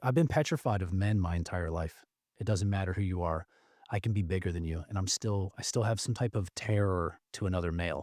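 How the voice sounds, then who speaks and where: A man talks at a fairly quick pace, and the recording is very clean with a silent background. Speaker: army veteran. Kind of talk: casual chat. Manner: talkative.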